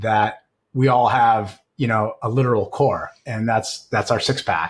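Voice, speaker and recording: In a very clean recording with a silent background, a man of medium pitch sounds somewhat breathy and keeps his intonation fairly even. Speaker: CEO and leadership coach. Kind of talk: podcast conversation.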